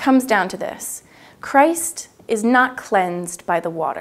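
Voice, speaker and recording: A woman's lively intonation over music in the background. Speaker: church educator. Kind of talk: educational religious narration. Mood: calm, warm, earnest. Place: studio.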